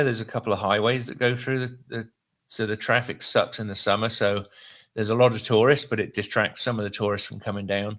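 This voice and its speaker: The speaker has a British accent and talks at a fairly quick pace. The recording is very clean, with a silent background. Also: man. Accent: British, often taken for Australian. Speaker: real estate investor. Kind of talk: casual chat. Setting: live stream.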